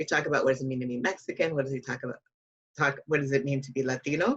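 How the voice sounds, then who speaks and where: A woman speaks with an American accent. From Chicago suburbs, US Midwest. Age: 60s. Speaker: nonprofit policy leader. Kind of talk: interview.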